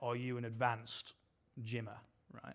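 Over a silent background on a very clean recording, a man with a British accent speaks at a fairly quick pace. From UK. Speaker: preacher. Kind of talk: sermon. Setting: church stage with audience.

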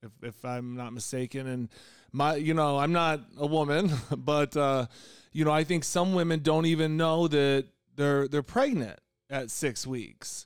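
An ordinary speaking voice: a man with an American accent, fairly high pitch, ordinary pitch variation and a fairly slow pace, on a very clean recording with a silent background. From rural Illinois. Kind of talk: panel discussion.

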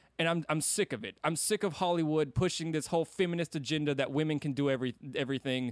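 A man talks at a very fast pace with ordinary pitch variation. The sound is dry and close, with no echo. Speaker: podcast host. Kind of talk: angry rant about Star Wars, scornful and insistent, casual podcast talk. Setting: podcast recording. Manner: emphatic, indignant, loud and scathing with insulting words.

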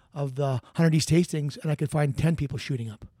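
A man's very fast speech with a Canadian accent and ordinary pitch variation, on a very clean recording with a silent background. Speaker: retired police officer. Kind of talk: interview. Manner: fast talker.

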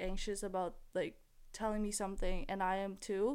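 Using a normal speaking voice, a woman talks at a medium pitch and moderate pace with fairly even intonation. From Philippines, raised in Canada. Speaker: university student. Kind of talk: casual chat.

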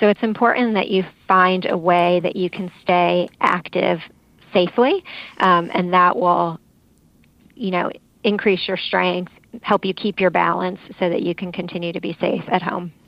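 At a moderate pace broken by long, frequent pauses, a medium-pitched woman talks with fairly even intonation. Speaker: fall prevention expert. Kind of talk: radio interview. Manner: informative.

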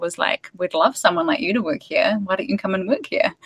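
A woman with an Australian accent uses a medium pitch with very wide pitch swings, heard in a dry, close sound with no echo. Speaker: dietitian and women's health expert. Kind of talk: casual interview chat.

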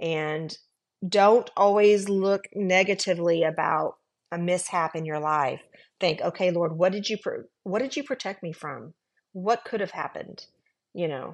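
Over a quiet background, a woman with an unremarkable speaking voice talks at a fairly slow pace, medium in pitch with ordinary pitch variation. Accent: American. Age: 50s. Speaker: executive assistant. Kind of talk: testimony.

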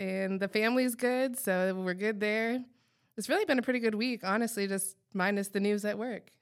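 Her intonation fairly even, a woman with a Midwestern accent speaks on a very clean recording with a silent background. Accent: general Midwestern American. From Iowa. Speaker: podcast co-host. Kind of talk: casual chat.

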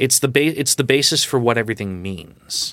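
In a very clean recording with a silent background, a man with an American accent uses a plain, everyday voice at medium pitch, speaking at a moderate pace with lively intonation. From Long Island, New York. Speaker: political club advisor. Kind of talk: interview.

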